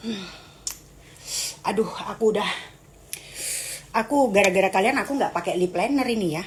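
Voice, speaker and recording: A woman talks at a fairly quick pace with a fairly high pitch. Noticeable background noise runs underneath. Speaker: live streamer. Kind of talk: casual live stream chat with viewers. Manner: animated.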